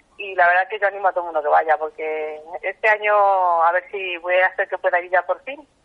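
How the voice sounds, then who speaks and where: Her voice is an unremarkable speaking voice: a woman at medium pitch, fairly quick and fairly even in intonation, with big swings in loudness. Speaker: local folklore expert. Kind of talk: interview.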